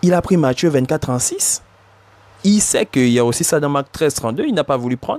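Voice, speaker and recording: A man's fairly high voice with ordinary pitch variation, dry and close with no echo. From Africa. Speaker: bible teacher. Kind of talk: religious commentary. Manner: hesitant, repetitive.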